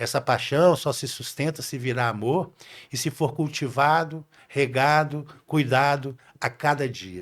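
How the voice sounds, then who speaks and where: Speaking at a fairly slow pace, a man with an unremarkable speaking voice has a fairly high pitch and ordinary pitch variation, on a very clean recording with a silent background. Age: 60s. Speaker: podcast guest, leadership speaker. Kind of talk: casual interview chat.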